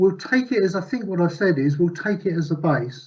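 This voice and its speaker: A man speaks in a high pitch. His tone is dark and mellow. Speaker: conference presenter. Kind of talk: conference presentation. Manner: fast.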